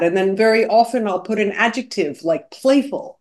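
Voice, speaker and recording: At a moderate pace, a woman with an American accent talks in a fairly high pitch with lively intonation. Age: 50s. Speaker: composer. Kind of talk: interview. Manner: animated.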